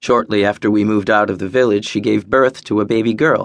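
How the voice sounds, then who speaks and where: Talking at a fairly quick pace, the man has an ordinary speaking voice with a fairly low pitch. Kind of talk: audiobook narration of a memoir, first person. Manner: measured, even storytelling pace with wry, bitter edges.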